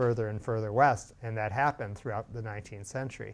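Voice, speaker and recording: Fairly even intonation in a man's voice of medium pitch. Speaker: history teacher. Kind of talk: lecture. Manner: fast; halting.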